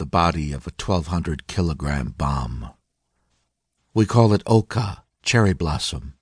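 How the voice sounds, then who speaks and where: Solemn in tone, a man speaks at a fairly slow pace with a very deep, low pitch and lively intonation, the sound dry and close with no echo. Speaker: audiobook narrator. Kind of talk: dramatic first-person audiobook narration in a young kamikaze pilot's voice. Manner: solemn, brooding, measured and wistful, with vivid poetic pacing.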